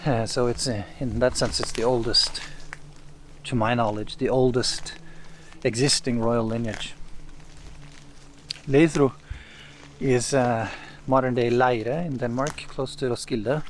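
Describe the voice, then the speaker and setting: Speaking with a Norwegian accent, a man at medium pitch moves at a fairly slow pace with fairly even intonation and long, frequent pauses, while room echo can be heard. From East Norway. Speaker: saga translator and commentator. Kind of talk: lecture-style commentary. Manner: hesitant, many filler sounds.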